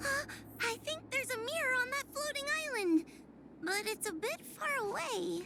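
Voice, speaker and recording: A female-sounding put-on character voice pitched extremely high. It moves at a moderate pace. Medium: video game. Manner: timid, hesitant.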